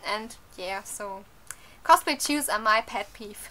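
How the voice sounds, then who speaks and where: A woman uses a raised, projected voice with lively intonation at a fairly slow pace. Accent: non-native. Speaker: cosplayer. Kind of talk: casual talk to camera. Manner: hesitant, many fillers.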